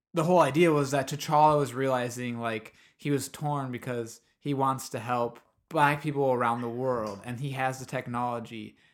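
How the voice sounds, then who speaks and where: Speaking with a Midwestern American accent, a man keeps a moderate pace and medium pitch. His intonation is fairly even, and the recording is very clean with a silent background. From US Midwest. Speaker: podcast host. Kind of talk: casual chat.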